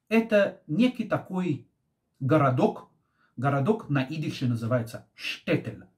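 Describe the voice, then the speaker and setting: This man's fairly high voice makes very wide pitch swings, and his tone is calm. He talks at a fairly slow pace over a quiet background. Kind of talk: commentary on current events. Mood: serious, reflective. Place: home room. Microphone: phone near.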